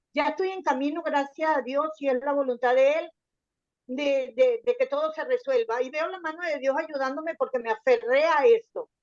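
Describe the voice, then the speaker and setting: Lively intonation from a woman with a high voice, at a moderate pace. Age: 60s. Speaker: church member sharing testimony. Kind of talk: testimony in group Bible study. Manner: halting, many repetitions.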